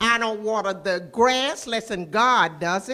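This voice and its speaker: A woman speaks with a Southern US accent. Her pitch is fairly high, with ordinary pitch variation. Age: 70s. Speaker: resident speaking at town hall. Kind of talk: public comment. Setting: city board room meeting with audience.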